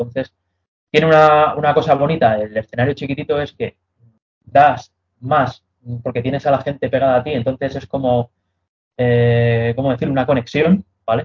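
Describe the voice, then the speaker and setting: A man speaks at a medium pitch, somewhat breathy, with fairly even intonation. He keeps a moderate pace with long, frequent pauses. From Madrid, Spain. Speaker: metal band vocalist. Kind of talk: interview.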